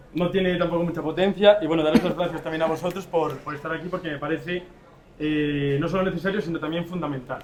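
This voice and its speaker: Over noticeable background noise, a man with an Asturian accent talks very fast in a high voice. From Asturias, Spain. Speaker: civil society representative. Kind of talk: panel debate.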